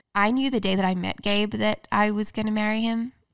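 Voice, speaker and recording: A woman speaks at a moderate pace with a flat, monotone delivery. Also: very clean recording, silent background. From Australia. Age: 20s. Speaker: YouTuber and author. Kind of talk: casual interview chat.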